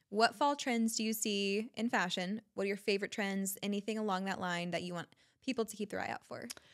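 An ordinary speaking voice from a woman, fairly quick and medium in pitch with fairly even intonation, comes through on a very clean recording with a silent background. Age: 20s. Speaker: podcast host. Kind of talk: casual interview chat.

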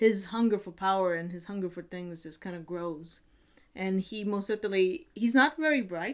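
A woman talks at a moderate pace with a quiet background behind her. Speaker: video blogger. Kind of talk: casual vlog chat. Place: home room.

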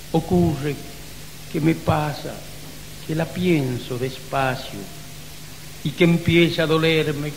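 At a very slow pace with long, frequent pauses, a man with a fairly high pitch speaks with fairly even intonation over noticeable background noise. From Salta, Argentina. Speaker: poet. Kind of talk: poetry reading.

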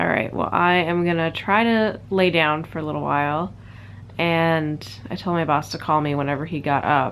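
The voice sounds tired, yet the intonation is lively. The pace is moderate over light background noise. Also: woman. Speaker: vlogger. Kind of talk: casual vlog chat. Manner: tired, sick groaning voice. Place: home room. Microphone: phone near.

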